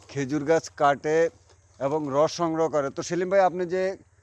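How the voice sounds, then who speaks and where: With fairly even intonation, this man talks in a plain, everyday voice. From Bangladesh, Lakshmipur district. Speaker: video blogger. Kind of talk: vlog interview.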